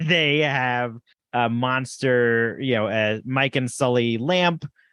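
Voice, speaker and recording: A man with a New Jersey accent speaks very slowly at a medium pitch, his bright, sharp tone holding very even loudness over ordinary pitch variation. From New Jersey, north-central. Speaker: podcast co-host, parent. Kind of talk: casual chat.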